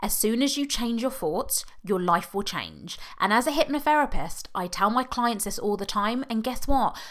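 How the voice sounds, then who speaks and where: In a British accent, a woman talks at a moderate pace with a fairly high pitch and an animated, upbeat tone. The recording is very clean, with a silent background. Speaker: podcast host. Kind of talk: solo monologue, motivational talk.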